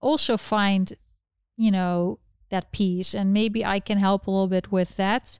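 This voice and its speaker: With a Dutch accent, a woman talks at a fairly slow pace in a dry, close sound with no echo, on a very clean recording with a silent background. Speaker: livestream host, political commentator. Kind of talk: live stream chat about politics. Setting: live stream with chat.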